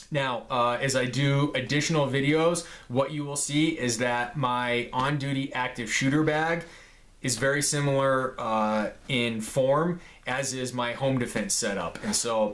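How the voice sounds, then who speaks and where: A man's medium-pitched voice with ordinary pitch variation, at a fairly slow pace, with audible room echo. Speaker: gear reviewer, police officer. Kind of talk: show-and-tell gear video.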